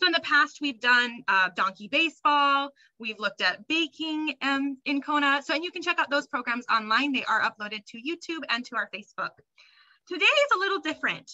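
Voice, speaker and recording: A woman's raised, projected voice in a bright, sharp tone with very wide pitch swings, against a quiet background. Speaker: program host. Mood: warm, welcoming. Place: home room. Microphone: webcam.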